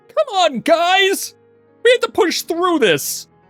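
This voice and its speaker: A squeaky, put-on character voice at an extremely high pitch talks at a fairly slow pace over faint music in the background. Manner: excited, urgent.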